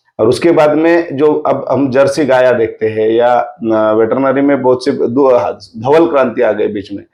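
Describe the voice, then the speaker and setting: With hardly any pauses, a man speaks at medium pitch in a dark, mellow tone with ordinary pitch variation. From Sillod area, Maharashtra, India. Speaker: agricultural scientist. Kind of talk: podcast interview.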